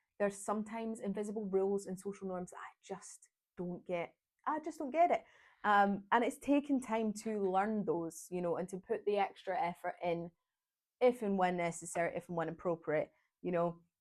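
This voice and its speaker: A woman with a Glaswegian accent speaks at a medium pitch. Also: ordinary pitch variation, moderate pace. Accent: Glaswegian Scottish. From Scotland, Glasgow. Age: 20s. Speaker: vlogger. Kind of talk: casual vlog monologue. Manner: chatty, talkative.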